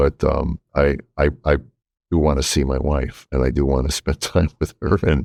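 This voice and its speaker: A man speaks at a moderate pace in a very deep, low voice with vocal fry, monotone, flat intonation and very even loudness, recorded dry and close with no echo. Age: 60s. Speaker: podcast host, comedian. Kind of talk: casual chat.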